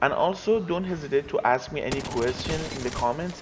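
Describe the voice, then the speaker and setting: A man with a non-native accent, a fairly quick pace and ordinary pitch variation, with music in the background. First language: not English. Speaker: gaming video creator. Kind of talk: tutorial.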